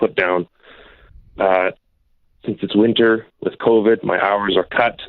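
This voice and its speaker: Speaking at a moderate pace, a man uses fairly even intonation and a fairly low pitch. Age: 20s. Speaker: caller, truck operator. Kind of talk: call-in advice conversation.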